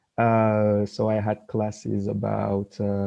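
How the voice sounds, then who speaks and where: A man with a French accent speaks very slowly at a fairly low pitch. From France. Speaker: exchange student alumnus. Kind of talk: personal experience talk in online session. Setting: video call.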